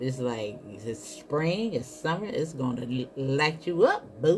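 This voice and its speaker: There is noticeable background noise as a man with a fairly high pitch speaks at a fairly slow pace. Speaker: tarot card reader. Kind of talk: tarot reading monologue.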